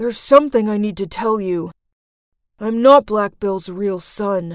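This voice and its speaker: In a cartoonish character voice, this female-sounding speaker talks at a medium pitch and a moderate pace. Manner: hushed, urgent.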